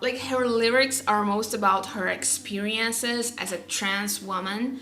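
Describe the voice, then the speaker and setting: Someone with a non-native accent speaks at a fairly slow pace, with fairly even intonation. Noticeable background noise and audible room echo are present. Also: woman. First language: not English. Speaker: music vlogger. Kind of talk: casual vlog talk. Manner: halting.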